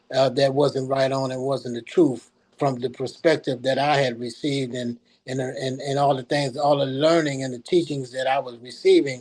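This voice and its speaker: At a moderate pace, a man with an American accent talks at medium pitch in monotone, flat intonation. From Los Angeles, California. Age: 70s. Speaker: bishop and prison chaplain. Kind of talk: interview testimony.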